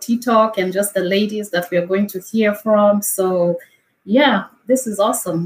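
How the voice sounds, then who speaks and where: A woman talks in a Kenyan accent at medium pitch. Her pace is moderate and her pitch variation ordinary. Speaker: wellness coach. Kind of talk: interview testimony.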